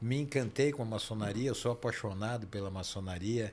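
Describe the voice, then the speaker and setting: A man with a plain, everyday voice, moderate pace and ordinary pitch variation. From Brazil, São Paulo. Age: 60s. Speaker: dentist and Freemasonry leader. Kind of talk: interview conversation. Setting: podcast studio, live stream.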